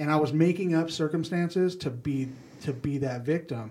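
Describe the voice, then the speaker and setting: The man's delivery is somewhat breathy. His pace is moderate. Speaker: senior real estate investor. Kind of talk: casual chat.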